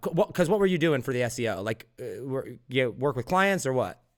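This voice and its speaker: The recording is very clean, with a silent background. A man speaks in a plain, everyday voice at a fairly high pitch with ordinary pitch variation. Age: 20s. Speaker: podcast host. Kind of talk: podcast interview.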